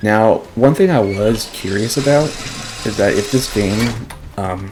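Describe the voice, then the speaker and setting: Soft-spoken and fairly slow, the voice comes through noticeable background noise. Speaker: gaming youtuber. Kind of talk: let's play commentary. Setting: home recording at night. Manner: halting.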